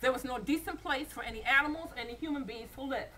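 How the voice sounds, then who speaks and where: In a raised, projected voice, a woman with an American accent speaks at a very fast pace, high in pitch and with lively intonation. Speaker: storyteller. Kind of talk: English version of folk tale.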